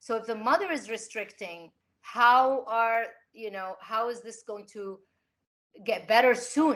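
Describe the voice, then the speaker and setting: Here a woman with a plain, everyday voice talks at a moderate pace, her pitch fairly high with ordinary variation. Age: 50s. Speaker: artist. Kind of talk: panel discussion.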